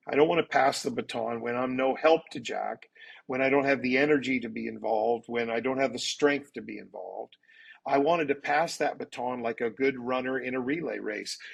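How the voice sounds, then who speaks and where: A man talks at a fairly quick pace with fairly even intonation, in a plain, everyday voice. The background is quiet. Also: medium pitch for a man. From Canada. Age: 60s. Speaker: pastor. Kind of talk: interview.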